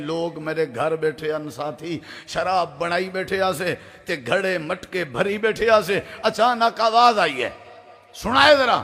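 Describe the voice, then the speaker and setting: Over noticeable background noise, a man with a high-pitched voice speaks in a passionate tone. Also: lively intonation. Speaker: Islamic preacher and Quran reciter. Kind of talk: Islamic sermon (bayan) to a live audience. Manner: passionate, preaching, storytelling.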